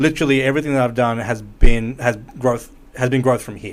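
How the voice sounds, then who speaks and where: With an Australian accent, a man talks fairly quickly at a medium pitch and with fairly even intonation. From Melbourne, Australia. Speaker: musician and music producer. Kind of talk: casual podcast interview.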